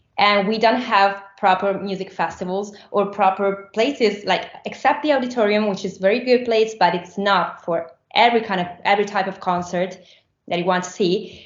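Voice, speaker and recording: A woman talks with an Italian accent and ordinary pitch variation. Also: medium pitch for a woman, moderate pace. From Rome, Italy. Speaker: musician. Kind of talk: interview. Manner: halting.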